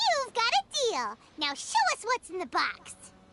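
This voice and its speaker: In a squeaky, put-on character voice, a woman speaks at a moderate pace with an extremely high pitch and very wide pitch swings. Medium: game stream. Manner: chatty, excitable.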